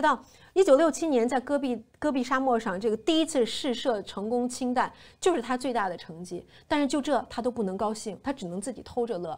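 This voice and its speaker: A woman speaks at a fairly quick pace with lively intonation. Her pitch is high. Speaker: TV show host. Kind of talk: casual review commentary. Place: studio. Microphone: lapel.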